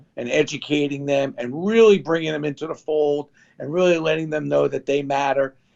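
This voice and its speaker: A man with a New York accent speaks at a fairly quick pace. His fairly high voice shows ordinary pitch variation. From New York (Brooklyn). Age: 60s. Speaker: sports memorabilia entrepreneur. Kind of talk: interview.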